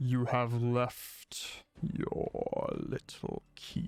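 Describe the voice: In a put-on character voice, a man growls with a booming, menacing tone at a very slow pace, faint music in the background.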